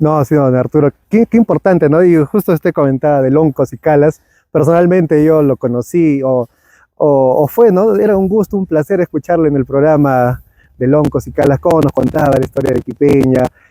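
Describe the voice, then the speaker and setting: Fairly quick and very even in loudness, a man with a fairly high pitch, ordinary pitch variation, and a dark, mellow tone speaks in a dry, close sound with no echo. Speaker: podcast host. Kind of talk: interview conversation.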